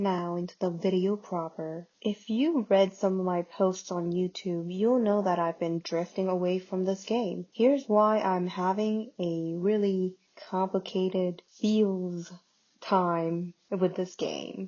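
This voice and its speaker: Quiet and very slow, a woman speaks with fairly even intonation. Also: medium pitch for a woman. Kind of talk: casual game commentary. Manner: quiet, hushed.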